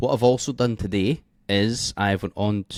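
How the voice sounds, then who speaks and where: Quiet and very slow, a man with a Scottish accent speaks at a fairly low pitch in a very clean recording with a silent background and a dry, close sound with no echo. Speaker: forex trading educator. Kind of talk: tutorial. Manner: quiet, keeping voice down. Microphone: mic held close.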